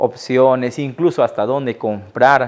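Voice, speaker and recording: A man at a very slow pace, fairly even intonation, quiet background. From Iquitos, Peru. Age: 30s. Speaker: writer and teacher. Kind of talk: interview answer.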